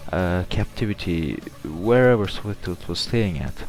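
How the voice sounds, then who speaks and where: Over music in the background, a man with a strong non-native accent talks at a fairly low pitch. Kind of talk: video game theory commentary.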